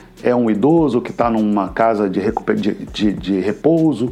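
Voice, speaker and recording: Lively intonation marks this man's speech. Noticeable background noise runs underneath. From Brazil, Minas Gerais (Juiz de Fora). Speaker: violinist and music group director. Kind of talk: interview. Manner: halting, with fillers and repetitions.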